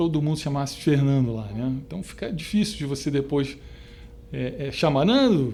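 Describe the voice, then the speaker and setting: A fairly high-pitched man talks with a Rio de Janeiro accent at a moderate pace. Audible room echo surrounds his voice. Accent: carioca. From Rio de Janeiro, Brazil (São Cristóvão). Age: 50s. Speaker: retired stock exchange trader. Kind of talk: oral history interview. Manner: halting, many fillers.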